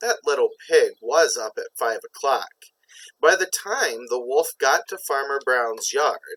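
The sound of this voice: The surroundings are quiet. Over them comes an unforced reading voice.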